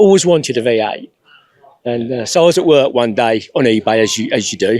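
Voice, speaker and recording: With an English Midlands accent, a man at a medium pitch talks at a fairly quick pace using lively intonation. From England, Northampton. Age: 60s. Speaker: classic car owner. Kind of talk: casual interview.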